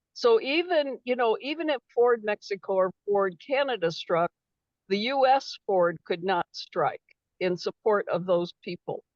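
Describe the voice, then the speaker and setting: A woman's high-pitched voice with very wide pitch swings, in a dry, close sound with no echo. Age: 70s. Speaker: retired autoworker and union activist. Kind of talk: comment in an online meeting.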